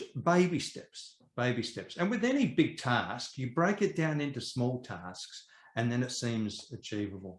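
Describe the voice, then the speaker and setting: Speaking fairly slowly in an Australian accent, a man with a medium pitch sounds somewhat breathy and makes very wide pitch swings. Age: 60s. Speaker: property educator and investor. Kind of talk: interview.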